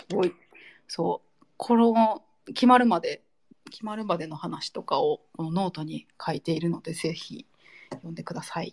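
At a fairly slow pace, a woman with a medium-pitched voice speaks with long, frequent pauses, big swings in loudness and ordinary pitch variation, in a dry, close sound with no echo. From Nara, Japan. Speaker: podcast host. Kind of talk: casual chat.

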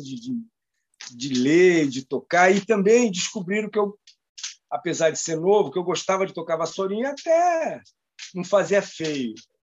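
Lively intonation at a moderate pace. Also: man. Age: 60s. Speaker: professional drummer. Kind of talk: casual interview chat.

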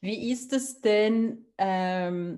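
Only quiet sounds the background. The woman's voice sits at a medium pitch. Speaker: podcast host, author. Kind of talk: interview.

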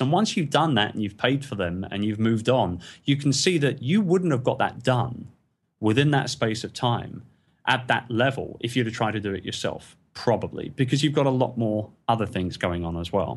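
Against a quiet background, a man speaks at a medium pitch. His pace is moderate and his intonation lively. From England. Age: 40s. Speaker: entrepreneur. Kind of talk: interview. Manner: animated.

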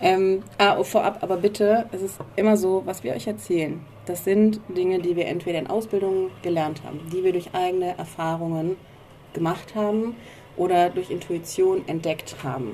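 The speaker has a normal speaking voice. The pace is moderate, with ordinary pitch variation. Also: woman, medium pitch for a woman. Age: 30s. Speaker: podcast co-host, career mentor. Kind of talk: casual chat. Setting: outdoors on a balcony.

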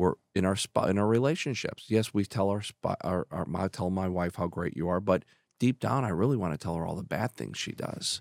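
In an American accent, a man with a very deep, low pitch talks at a fairly quick pace with ordinary pitch variation and hardly any pauses, captured in a very clean recording with a silent background and a dry, close sound with no echo. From Chicago. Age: 50s. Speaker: business executive. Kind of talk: casual interview.

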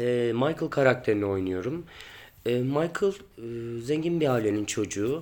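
A plain, everyday voice from a man, medium in pitch, with lively intonation and a fairly slow pace. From Turkey, Ankara. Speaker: stage actor. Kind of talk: interview answers.

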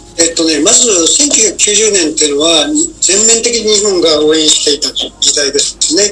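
A man talks at a moderate pace with lively intonation and a high pitch. His loudness stays very even, with music playing in the background. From Japan, Oita. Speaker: retired diplomat. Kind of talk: radio interview.

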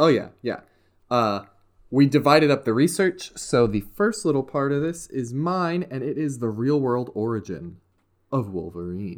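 A man with an American accent, pitch swinging very widely, at a moderate pace, on a very clean recording with a silent background. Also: medium pitch for a man. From US South, West Virginia. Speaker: podcast host. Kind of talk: casual chat.

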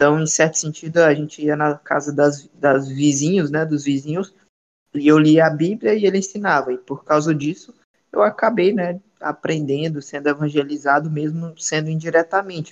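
A man in a normal speaking voice, moderate pace and fairly even intonation. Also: fairly high pitch for a man. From Ceará, Brazil. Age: 20s. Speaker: evangelist. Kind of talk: podcast interview.

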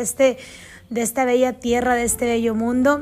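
Against noticeable background noise, a woman speaks in an animated tone at a high pitch. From Mexico. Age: 40s. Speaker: podcast host. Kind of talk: motivational monologue.

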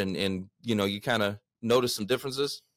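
Fairly quick male speech in a Texan accent on a very clean recording with a silent background. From Texas. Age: 30s. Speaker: podcast host. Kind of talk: casual interview. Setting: studio. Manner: energetic.

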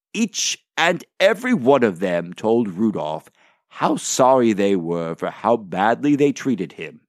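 A man speaks at medium pitch in a warm, animated tone. His pitch swings very widely. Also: dry, close sound with no echo, very clean recording, silent background. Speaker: Santa Claus character. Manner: warm, jolly, gently animated; storyteller's dramatic pacing, joyful exclamations at the climax.

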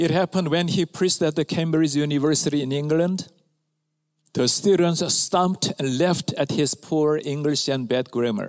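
A man speaks at a fairly slow pace with a Korean accent, his pitch fairly high and its variation ordinary. The recording is very clean with a silent background. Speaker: pastor. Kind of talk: sermon. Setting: church.

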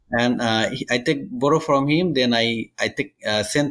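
A man speaks with a Bengali accent. His pitch is fairly high for a man. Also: very clean recording, silent background. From Bangladesh. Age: 30s. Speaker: migrant construction worker. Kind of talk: interview. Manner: halting.

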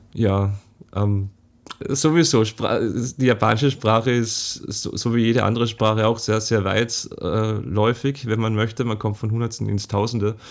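Medium male pitch, moderate pace, and fairly even intonation from a man. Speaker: podcast host, translator. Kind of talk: casual chat. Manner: halting.

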